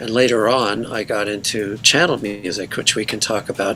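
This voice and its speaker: Noticeable background noise runs behind the recording. A man talks at a moderate pace. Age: 60s. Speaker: musician. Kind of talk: interview. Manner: halting.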